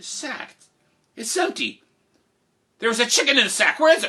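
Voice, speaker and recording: A put-on character voice pitched high. It moves at a fairly quick pace. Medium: solo performance. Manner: sly, falsely polite.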